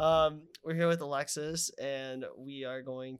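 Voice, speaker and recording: A man speaks in an unremarkable speaking voice, fairly high in pitch, with fairly even intonation. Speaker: podcast co-host. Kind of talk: casual chat.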